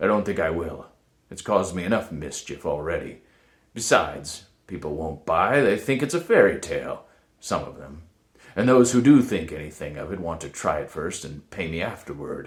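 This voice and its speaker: A man uses a put-on character voice that is gruff and very deep, delivered at a moderate pace. His loudness swings widely. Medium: read story. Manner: grave, solemn.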